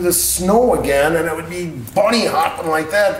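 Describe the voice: Strong room echo surrounds a man speaking at a moderate pace, his fairly high voice full of lively intonation.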